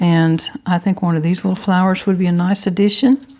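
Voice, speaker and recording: There's noticeable background noise behind this woman, whose pitch sits in the medium range. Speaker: papercraft YouTuber. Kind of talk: tutorial. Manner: chatty.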